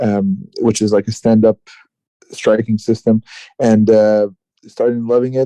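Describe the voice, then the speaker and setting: In a Quebec accent, a man with a dark, mellow tone speaks at a fairly slow pace in a monotone, flat way with very even loudness and long, frequent pauses, the sound dry and close with no echo. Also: medium pitch for a man. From Quebec, Canada (Gatineau). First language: French. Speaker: martial arts fighter. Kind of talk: interview. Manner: halting, many fillers.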